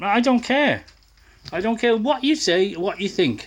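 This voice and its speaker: A very slow delivery in a northern English accent, with lively intonation. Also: man. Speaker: camera operator in a motorbike workshop. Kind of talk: casual chat. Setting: workshop. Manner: loud.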